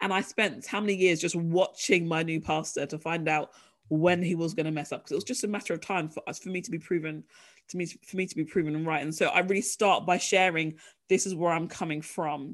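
A British-accented woman's fairly low voice at a fairly quick pace, on a very clean recording with a silent background. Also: ordinary pitch variation. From UK. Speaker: author and ministry leader. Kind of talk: interview.

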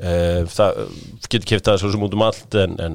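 A man's plain, everyday voice on a very clean recording with a silent background. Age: middle-aged. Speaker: football podcast host. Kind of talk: casual chat.

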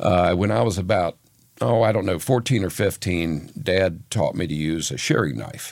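A man with an American accent speaks in a very deep, low voice with vocal fry. His intonation is lively and his pace moderate. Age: 60s. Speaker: Christmas tree farmer. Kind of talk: casual chat.

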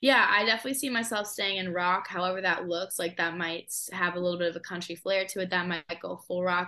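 A woman speaks at a very fast pace with an American accent and a medium pitch. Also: ordinary pitch variation. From Massachusetts. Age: 20s. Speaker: singer-songwriter. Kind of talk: casual interview chat.

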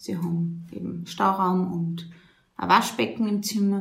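Somewhat breathy, a woman with a medium pitch talks at a fairly slow pace with fairly even intonation, her voice carrying audible room echo. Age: 20s. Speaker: nun running a women's shelter. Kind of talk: interview. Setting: on location at the women's shelter, seated.

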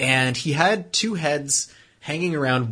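A man's bright, sharp voice with ordinary pitch variation. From Quebec, Canada. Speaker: automotive journalist and podcast host. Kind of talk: casual chat podcast banter.

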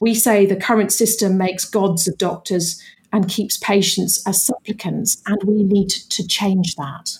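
Speaking with a British accent, a woman at a medium pitch sounds somewhat breathy, keeping a fairly slow pace and fairly even intonation. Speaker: campaigner and author. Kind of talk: interview.

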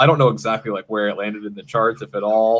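A man's medium-pitched voice at a very fast pace. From Maine, US. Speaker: podcast producer and guest. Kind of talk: casual chat. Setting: home studio.

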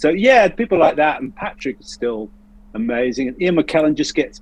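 Speaking with an English accent at a moderate pace, a man uses a high pitch with very wide pitch swings. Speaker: actor. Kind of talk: casual chat.

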